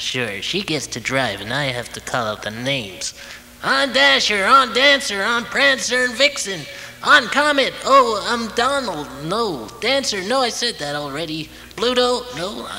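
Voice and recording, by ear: Using a put-on character voice, a man speaks at a high pitch and moderate pace. Clear background noise runs underneath.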